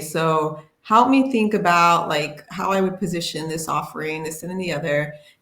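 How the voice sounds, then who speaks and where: Amid audible room echo, a woman with a fairly low pitch speaks at a moderate pace with ordinary pitch variation. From United States. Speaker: HR tech panelist. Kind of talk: casual panel discussion.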